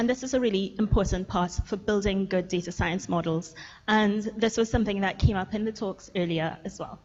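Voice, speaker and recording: The speaker is a woman at a medium pitch. Her voice is somewhat breathy. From Trinidad and Tobago. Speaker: machine learning researcher. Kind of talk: lecture. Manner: fast.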